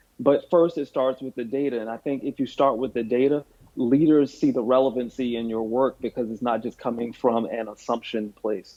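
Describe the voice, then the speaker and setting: A man of medium pitch with an American accent, at a moderate pace, with fairly even intonation and hardly any pauses. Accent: Southern twang, stronger when sleepy. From US South. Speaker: chief inclusion officer. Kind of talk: podcast interview.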